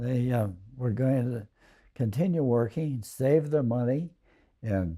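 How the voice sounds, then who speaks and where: The voice has a dark, mellow tone and ordinary pitch variation, and it moves at a very slow pace. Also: man. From US West Coast (Alameda, California). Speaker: family elder telling life story. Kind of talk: oral history reminiscence. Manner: halting, many fillers.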